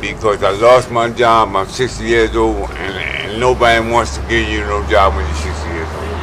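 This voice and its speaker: With an American accent, a man talks at a moderate pace with hardly any pauses, his very deep, low pitch swinging very widely. Noticeable background noise sits behind him. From US South, South Carolina. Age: 60s. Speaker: homeless man. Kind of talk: street interview. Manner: halting, repeats words.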